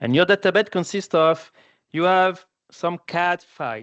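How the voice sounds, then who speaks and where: With a French accent, a man speaks at a fairly slow pace. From France. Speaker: applications engineer. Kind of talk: webinar presentation. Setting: online webinar.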